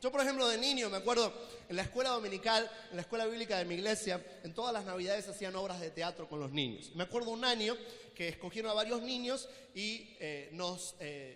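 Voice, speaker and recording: Amid noticeable background noise and audible room echo, a man with a high pitch talks fairly quickly in an animated tone with ordinary pitch variation. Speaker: preacher and theologian. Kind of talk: sermon. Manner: fast.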